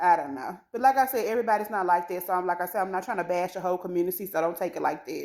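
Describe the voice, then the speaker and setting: A woman's animated, very fast speech at medium pitch, with ordinary pitch variation and hardly any pauses, on a very clean recording with a silent background. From USA. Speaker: vlogger. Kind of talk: casual monologue vlog.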